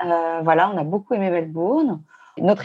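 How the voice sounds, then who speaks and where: A woman with an ordinary speaking voice and a fairly low pitch talks at a moderate pace against a quiet background. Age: 50s. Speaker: traveler. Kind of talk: casual chat.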